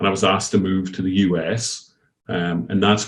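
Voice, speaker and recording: With a Scottish accent, a man speaks at a moderate pace in a very deep, low pitch. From Scotland. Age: 50s. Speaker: company founder and CEO. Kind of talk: podcast interview.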